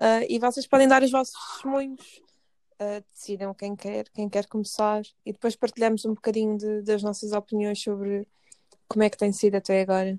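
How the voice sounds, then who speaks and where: At a moderate pace, a woman speaks in a fairly high pitch with fairly even intonation, the sound dry and close with no echo. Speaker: podcast host, political scientist. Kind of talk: casual chat. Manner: halting.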